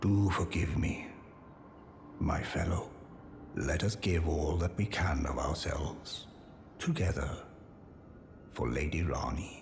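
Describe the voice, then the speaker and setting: Against clear background noise, a man puts on a character voice with a very deep, low pitch at a fairly slow pace. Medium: machinima. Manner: formal, sincere.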